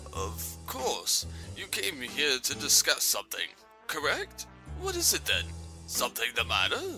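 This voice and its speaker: Over clear music in the background, a man speaks at a moderate pace in a put-on character voice. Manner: pompous, rambling.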